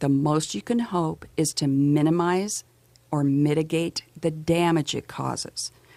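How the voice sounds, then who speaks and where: The pitch varies in an ordinary way. The sound is dry and close, with no echo. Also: woman. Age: 60s. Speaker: documentary filmmaker. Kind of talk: radio interview. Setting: radio studio.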